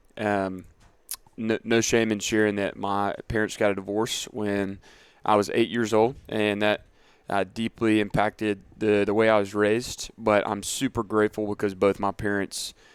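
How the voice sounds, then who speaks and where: A man with a Southern US accent talks at a moderate pace in a fairly low pitch and monotone, flat intonation. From US South, middle Georgia (Dublin). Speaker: fitness coach. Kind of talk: casual interview.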